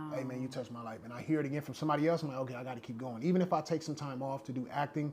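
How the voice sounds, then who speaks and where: A man's fairly high voice, very fast pace and fairly even intonation, with noticeable background noise. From US West Coast, Long Beach, California. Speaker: actor and rapper. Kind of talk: podcast interview. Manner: conversational, casual.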